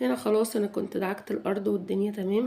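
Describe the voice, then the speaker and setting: A woman speaks at a medium pitch with an Egyptian accent. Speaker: home vlogger. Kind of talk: cleaning routine vlog narration. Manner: halting, many restarts.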